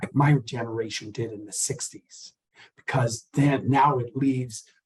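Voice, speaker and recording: The voice is somewhat breathy, with fairly even intonation. Its loudness swings widely. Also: man, medium pitch for a man, moderate pace. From US South. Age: 70s. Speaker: artist and university professor. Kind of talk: interview.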